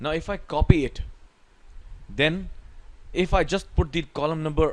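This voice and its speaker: This man speaks with an Indian accent. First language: Hindi. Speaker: Excel tutor. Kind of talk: tutorial.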